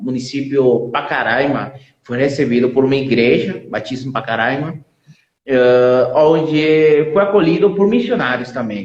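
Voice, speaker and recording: This man's voice sits fairly high, moving at a fairly slow pace with lively intonation. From Venezuela. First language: Spanish (speaking Portuguese). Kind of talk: testimony. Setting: live stream.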